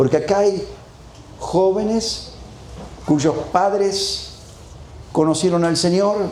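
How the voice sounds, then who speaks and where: A man with a high voice speaks at a very slow pace, with audible room echo and noticeable background noise. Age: 60s. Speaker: preacher. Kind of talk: sermon.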